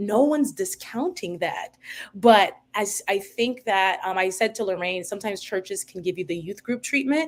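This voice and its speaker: A woman with an ordinary speaking voice, medium in pitch, lively in intonation, at a moderate pace. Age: 30s. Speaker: podcast guest. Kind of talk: casual chat.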